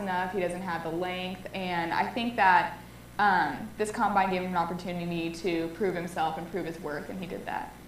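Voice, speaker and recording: A woman with a Californian accent talks at a fairly quick pace with ordinary pitch variation. Noticeable background noise and audible room echo fill the recording. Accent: Californian American English. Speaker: student sports show co-host. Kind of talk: casual sports talk show.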